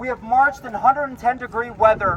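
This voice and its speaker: An extremely high-pitched man with an American accent, ordinary pitch variation and a moderate pace, amid noticeable background noise. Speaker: protest activist. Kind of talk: rally speech. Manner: emphatic.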